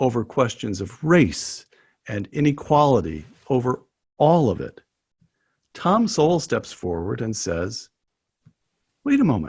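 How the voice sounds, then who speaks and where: The speaker talks fairly slowly, with long, frequent pauses and vocal fry. The pitch swings very widely. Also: man. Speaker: interviewer. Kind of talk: interview question.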